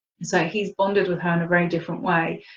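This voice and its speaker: The woman's voice sits fairly low and sounds somewhat breathy. She talks at a fairly quick pace. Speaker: spiritual teacher and healer. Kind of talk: webinar talk.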